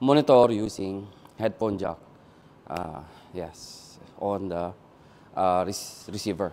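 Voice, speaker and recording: At a very slow pace, a man speaks with a fairly low pitch. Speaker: presenter. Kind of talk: product review demo. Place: shop. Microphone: lapel.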